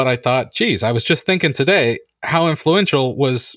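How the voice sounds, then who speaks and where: A man with a normal speaking voice, a fairly high pitch and an American accent. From California. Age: 40s. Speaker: podcast host. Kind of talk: casual chat.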